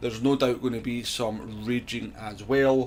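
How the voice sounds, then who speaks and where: Music plays in the background as a man talks in a Scottish accent. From Scotland. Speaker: gaming streamer. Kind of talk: casual channel introduction.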